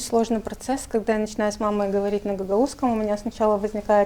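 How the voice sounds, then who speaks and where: A woman is speaking. Her pitch sits fairly high. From Moldova, Gagauzia. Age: 40s. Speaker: journalist and writer. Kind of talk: interview. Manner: hesitant fillers.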